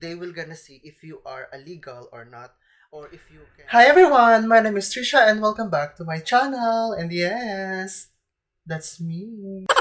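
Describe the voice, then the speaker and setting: A woman with a Filipino accent speaks at a moderate pace and medium pitch, her pitch swinging very widely. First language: Tagalog. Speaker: vlogger. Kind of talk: vlog explainer.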